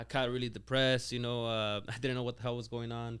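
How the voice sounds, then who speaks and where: In a very clean recording with a silent background, a man with a slight Spanish accent talks at a very fast pace in a medium pitch. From Mexico, raised near Lake Tahoe, California. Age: 20s. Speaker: business owner. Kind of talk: interview. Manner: casual, halting with many fillers.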